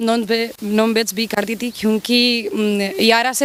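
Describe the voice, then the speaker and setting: A woman speaks with a Spanish accent at a fairly high pitch. Her intonation stays fairly even. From Spain. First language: Spanish (speaking Hindi). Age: 40s. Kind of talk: interview. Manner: halting, non-native Hindi.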